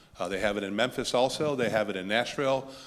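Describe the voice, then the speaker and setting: An ordinary speaking voice from a man, medium in pitch, delivered at a fairly quick speed. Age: 50s. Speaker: political candidate. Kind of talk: candidates forum Q&A answer.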